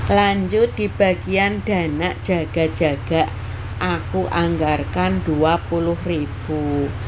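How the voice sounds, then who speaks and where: Against noticeable background noise and audible room echo, a woman speaks very slowly in a very deep, low voice with very wide pitch swings. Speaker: housewife vlogger. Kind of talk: budgeting vlog narration. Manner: casual, chatty.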